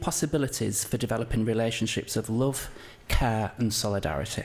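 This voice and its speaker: The speaker is a man with a strong northern English accent. He talks at a fairly quick pace. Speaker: curator and lecturer. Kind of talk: conference presentation. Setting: conference talk with audience. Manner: hesitant, many fillers.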